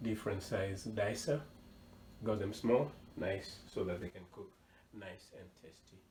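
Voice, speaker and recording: A man with an American accent, fairly low in pitch, at a fairly slow pace with ordinary pitch variation, amid audible room echo and noticeable background noise. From US South, Georgia. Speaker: cooking show host. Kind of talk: cooking tutorial. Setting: home kitchen.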